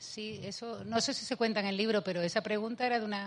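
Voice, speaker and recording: Against a quiet background, a woman with an Andalusian accent talks at a fairly quick pace. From Andalusia, Spain (Seville province). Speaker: mathematician and author. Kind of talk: public talk with Q&A. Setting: festival event, remote from Spain. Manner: animated.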